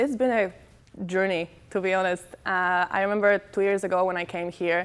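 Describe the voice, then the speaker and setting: In a very clean recording with a silent background, a woman speaks with a Polish accent and fairly even intonation. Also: medium pitch for a woman, fairly quick pace. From Poland. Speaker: college volleyball player. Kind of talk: media day interview. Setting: TV studio. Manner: halting.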